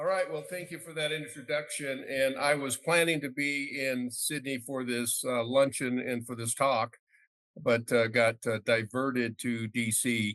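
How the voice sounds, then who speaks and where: At a fairly slow pace, a man speaks in a normal speaking voice. His pitch is medium, with ordinary pitch variation. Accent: American. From Arizona, US. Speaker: mining company CEO. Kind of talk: presentation. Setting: video call into event.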